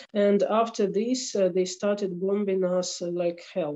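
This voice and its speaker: A woman's very slow speech with a Ukrainian accent, a dark, mellow tone, medium pitch and fairly even intonation. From Ukraine. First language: Ukrainian or Russian. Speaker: attorney at law. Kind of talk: interview. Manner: halting. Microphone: slow internet connection.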